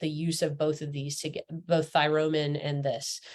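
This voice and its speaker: A woman speaks at a moderate pace. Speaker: essential oils educator. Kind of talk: casual talk to camera. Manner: casual, hesitant.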